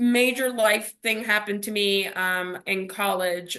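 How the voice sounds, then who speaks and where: A woman's fairly high, bright, sharp voice at a fairly slow pace. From US South, Miami, Florida. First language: Spanish. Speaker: empowerment coach. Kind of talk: podcast interview. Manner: halting, many fillers.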